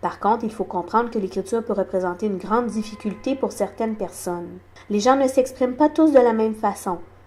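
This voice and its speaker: Lively intonation marks this woman's speech. She talks at a moderate pace, with a fairly high pitch. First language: sign language (speaking French). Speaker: deaf community advocate. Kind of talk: awareness talk.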